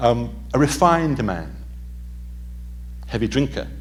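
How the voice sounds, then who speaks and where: A man with an English accent amid audible room echo. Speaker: author and historian. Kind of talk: lecture.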